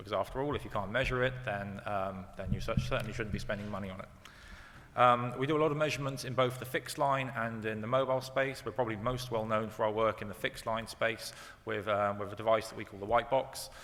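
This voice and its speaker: A man speaks very fast at a medium pitch. His intonation is fairly even. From UK. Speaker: company executive. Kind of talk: panel presentation. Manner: halting, many fillers.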